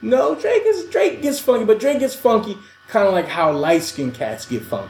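With noticeable background noise behind him, a man talks at a moderate pace in a New York accent. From US, New York City (Queens). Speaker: podcast co-host. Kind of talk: casual chat. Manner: animated.

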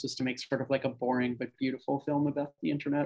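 Speaking very fast, a man keeps a medium pitch and a flat, monotone delivery. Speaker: film director. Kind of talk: interview. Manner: casual, laughs often.

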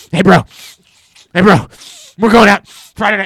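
This is a put-on character voice with a raspy sound. The delivery comes at a fairly slow pace. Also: man, high pitch for a man. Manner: casual, put-on.

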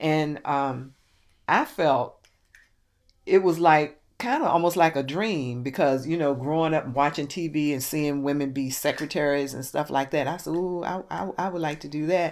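A woman with an American accent speaks at a moderate pace, with ordinary pitch variation. Her pitch is very deep and low, and the recording is very clean with a silent background. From Richmond, Virginia. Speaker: retired government clerk recalling her past. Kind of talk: oral history interview.

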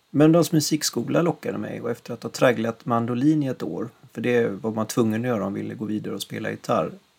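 Speaking at a very fast pace with hardly any pauses, a man uses a medium pitch, ordinary pitch variation, and vocal fry. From western Sweden, Gothenburg area. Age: 50s. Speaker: podcast host, musician. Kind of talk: scripted narration.

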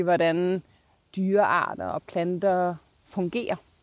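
Her intonation fairly even, a woman speaks very slowly at a medium pitch with a dark, mellow tone on a very clean recording with a silent background. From Denmark, Copenhagen area. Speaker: sustainability leader. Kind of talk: interview. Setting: outdoors.

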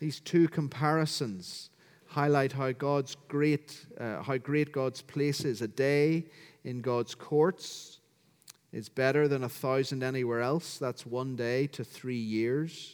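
Fairly even in intonation, the speaking goes very slowly. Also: man, medium pitch for a man. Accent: Northern Irish. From Northern Ireland, County Down. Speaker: pastor. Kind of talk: sermon. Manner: formal.

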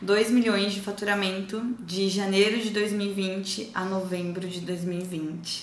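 Over noticeable background noise, a woman talks at a very slow pace with hardly any pauses, her medium pitch held in a flat monotone. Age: 20s. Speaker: online course creator. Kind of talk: testimony.

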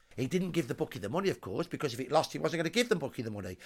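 This voice has a Brummie accent, very wide pitch swings and vocal fry. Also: man. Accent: Birmingham (Brummie). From Birmingham, England. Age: 60s. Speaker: social historian. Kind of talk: interview. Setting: at the host's home.

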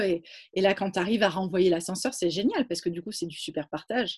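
A woman talks at a medium pitch. A somewhat breathy quality runs through her voice. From Provence, southern France. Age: 30s. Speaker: founder of women's environmental initiatives. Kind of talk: interview. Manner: halting, many repetitions.

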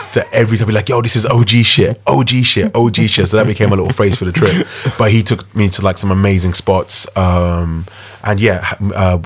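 A very fast, somewhat breathy delivery with ordinary pitch variation. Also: man. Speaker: DJ and radio show host. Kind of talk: casual chat.

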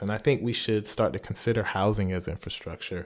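An American-accented man speaks very fast in a fairly low voice. His intonation is fairly even, and the recording is very clean with a silent background. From US South, rural Lee County, South Carolina. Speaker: professor. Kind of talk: interview. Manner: frequent fillers (um, uh).

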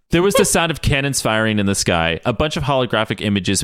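An unforced reading voice that moves with lively intonation.

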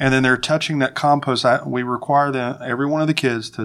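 The voice carries a slight Appalachian accent and fairly even intonation. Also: man. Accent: Southern US, slight Appalachian. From Winston-Salem, North Carolina. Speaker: farm network coordinator. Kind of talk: casual interview conversation.

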